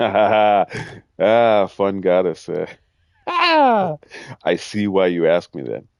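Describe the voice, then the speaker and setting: A man with a Midwestern accent speaks at a very slow pace. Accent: Midwestern, sometimes mistaken for Canadian. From US Midwest. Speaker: gaming streamer. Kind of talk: live gameplay commentary. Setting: live stream.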